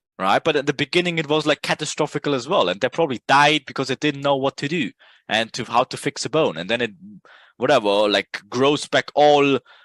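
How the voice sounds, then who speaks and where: A man with a non-native accent is heard in a very clean recording with a silent background. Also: fairly high pitch for a man, ordinary pitch variation, fairly quick pace, dry, close sound with no echo. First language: not English. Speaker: trading educator. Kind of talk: casual tutorial talk. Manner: animated; halting.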